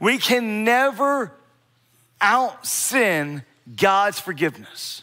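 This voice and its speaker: In an American accent, a man uses a raised, projected voice with a bright, sharp tone and high pitch. He speaks at a very slow pace with lively intonation and long, frequent pauses. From US Mid-Atlantic (Bear, Delaware). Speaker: pastor. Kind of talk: sermon. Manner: repetitive false starts, stammering restarts.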